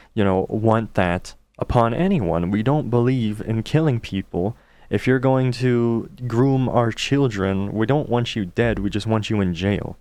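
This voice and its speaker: At a fairly slow pace, a man talks in a medium-pitched voice. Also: ordinary pitch variation. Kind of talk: casual talk to camera, commentary. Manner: talking in his normal, unexaggerated voice.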